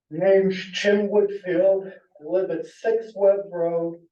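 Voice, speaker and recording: A man speaks with an American accent and a high pitch. His pace is very slow. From Connecticut, US (Naugatuck area). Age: 70s. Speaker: local resident giving public comment. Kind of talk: public comment at a town meeting.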